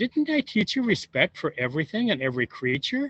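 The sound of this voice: A man's put-on character voice, fairly high in pitch with big pitch swings, a slightly husky edge and a fairly quick pace, in a dry, close sound with no echo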